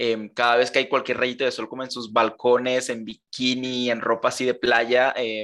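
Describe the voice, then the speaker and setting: On a very clean recording with a silent background, a man speaks at medium pitch and a moderate pace with a bright, sharp tone. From Colombia. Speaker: architect. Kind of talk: casual chat.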